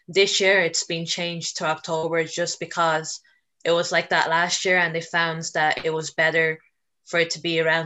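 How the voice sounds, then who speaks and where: In a Dublin accent, a woman speaks at a fairly low pitch. Her pace is moderate. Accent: Dublin Irish. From Ireland, Dublin. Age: 20s. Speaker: student and mental health advocate. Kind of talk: podcast interview.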